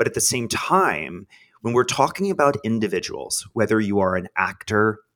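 A man's bright, sharp tone comes through with an American accent on a very clean recording, the background silent. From Texas, small town. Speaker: branding consultant and theater producer. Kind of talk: interview. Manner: lively.

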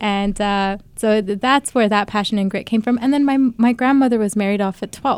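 A woman with a plain, everyday voice speaks at a fairly high pitch and a moderate pace, with hardly any pauses. Her intonation stays fairly even, and the recording is very clean with a silent background. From Utah, US, raised by Bangladeshi family. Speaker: journalist and filmmaker. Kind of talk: interview.

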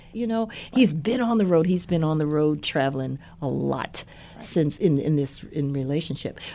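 With a Midwestern accent, a woman talks at a moderate pace in a very deep, low pitch. Her intonation is lively and her tone warm. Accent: general American, Midwestern. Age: 60s. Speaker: university president's wife, educator. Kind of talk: casual interview conversation. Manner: warm, laughs often.

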